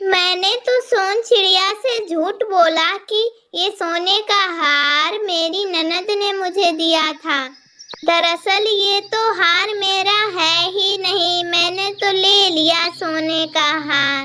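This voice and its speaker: A cartoonish character voice, female-sounding and extremely high, at a very slow pace. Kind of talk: children's cartoon character voices.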